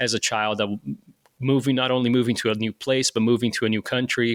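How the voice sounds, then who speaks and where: A man with a Portuguese accent speaks in a flat monotone at a medium pitch, recorded very cleanly against a silent background in a dry, close sound with no echo. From Brazil, Rio de Janeiro. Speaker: firefighter. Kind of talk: interview. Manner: halting, many repetitions and fillers.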